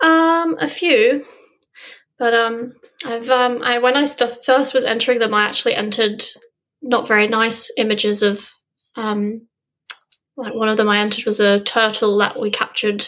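Pausing long and often, a woman speaks at a moderate pace in a fairly high voice with ordinary pitch variation. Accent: southern English. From southern England, Dorset. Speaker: underwater photographer and freediver. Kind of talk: interview.

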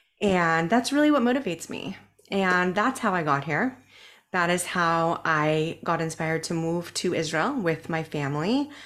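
In a very clean recording with a silent background, a woman with an American accent and fairly low pitch speaks at a moderate pace with lively intonation. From US, Southern California (North County San Diego). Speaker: business coach and podcast host. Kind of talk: interview.

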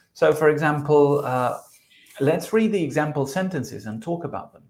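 Ordinary pitch variation in a man's speech. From South America. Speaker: podcast co-host, English teacher. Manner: explanatory, teacherly.

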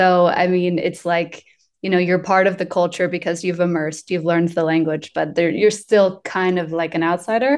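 An unremarkable speaking voice from a woman, fairly low in pitch, with fairly even intonation at a moderate pace over a quiet background. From US South, Asheville, North Carolina. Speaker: employer branding specialist. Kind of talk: interview conversation.

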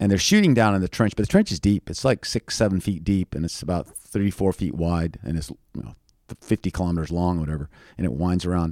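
A very deep, low-pitched man with an American accent, animated in tone with ordinary pitch variation, at a very fast pace, in a very clean, dry, close recording with a silent background and no echo. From Thailand, raised by American missionary parents. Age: 50s. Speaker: aid worker and former army officer. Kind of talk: interview storytelling. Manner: animated, with sound effects.

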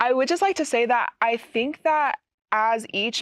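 A woman with an American accent speaks in a plain, everyday voice at a moderate pace with ordinary pitch variation. The sound is dry and close with no echo, over a quiet background. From Utah. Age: 20s. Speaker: university student. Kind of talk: casual chat.

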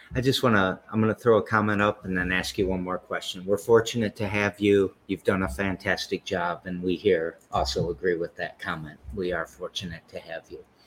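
A man's plain, everyday voice, fairly low in pitch, with fairly even intonation, a fairly quick pace and hardly any pauses. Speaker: podcast host. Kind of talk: casual interview.

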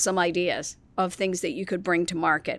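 Using an unremarkable speaking voice, a woman at medium pitch talks at a fairly quick pace. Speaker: podcast host. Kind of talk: interview.

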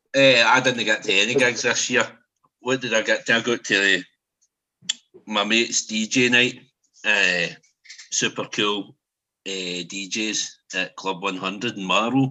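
Speaking in a Scottish accent, a man talks at a fairly slow pace and a medium pitch, with fairly even intonation and long, frequent pauses. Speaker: podcast host. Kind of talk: casual chat. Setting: video call.

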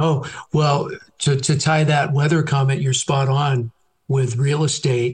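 Somewhat breathy and fairly high-pitched, a man with an American accent speaks at a fairly slow pace with fairly even intonation. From San Francisco Bay Area, California. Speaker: realtor. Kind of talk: casual interview. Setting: phone call.

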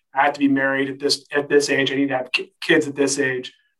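A man speaks with an American accent at a fairly quick pace. His pitch is fairly high. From California. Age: 30s. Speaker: cancer survivor. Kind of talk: casual interview.

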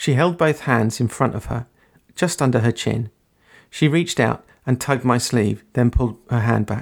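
Quiet surrounds the speaker. The reading voice is unforced.

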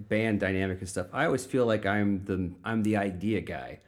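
An American-accented man with an unremarkable speaking voice talks at a fairly quick pace and fairly low pitch on a very clean recording with a silent background. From Florissant, St. Louis area, Missouri. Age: 40s. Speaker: punk musician and vegan activist. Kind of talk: casual chat.

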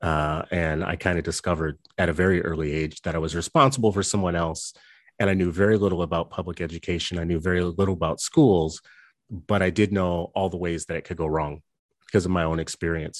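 A man with an American accent talks at a very fast pace. His pitch is very deep and low, over a quiet background. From US South, New Orleans. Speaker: education nonprofit executive. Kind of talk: interview.

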